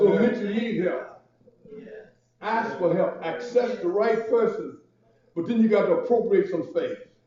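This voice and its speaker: A man's high voice at a moderate pace, with ordinary pitch variation, long, frequent pauses, and audible room echo. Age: 60s. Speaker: pastor. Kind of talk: sermon. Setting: church. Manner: call-and-response preaching.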